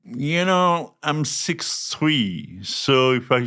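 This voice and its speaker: A man with a French accent and lively intonation. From France. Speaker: chef. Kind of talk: casual chat.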